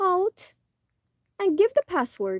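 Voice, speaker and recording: A shaky, extremely high put-on character voice from a woman, dry and close with no echo. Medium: read story. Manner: nervous, pedantic.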